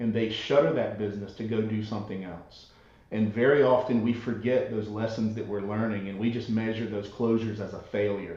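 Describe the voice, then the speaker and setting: With noticeable background noise and audible room echo, a man talks at a fairly quick pace in a fairly low pitch with monotone, flat intonation. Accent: Southern US. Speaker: author and entrepreneurship expert. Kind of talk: podcast interview.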